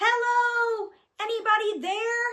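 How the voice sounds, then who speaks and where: A woman's put-on character voice, squeaky and extremely high, delivered in a flat monotone. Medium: read story. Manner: earnest, plaintive.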